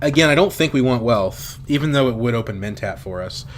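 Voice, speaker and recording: Noticeable background noise sits behind a man speaking at a very fast pace. His intonation is lively. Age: 20s. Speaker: game streamer. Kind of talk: live gameplay commentary. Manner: casual, thinking aloud with fillers.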